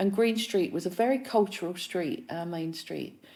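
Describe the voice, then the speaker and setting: Dark and mellow in tone, this woman's voice sits at a fairly low pitch with ordinary pitch variation. She talks at a moderate pace in a London accent. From East London, England. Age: 60s. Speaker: musician and filmmaker. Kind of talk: casual chat.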